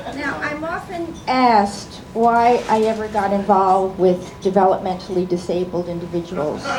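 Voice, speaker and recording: Noticeable background noise sits under a woman's voice. She talks with lively intonation and hardly any pauses. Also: medium pitch for a woman, moderate pace. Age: 70s. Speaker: doctor. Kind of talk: comedy roast set.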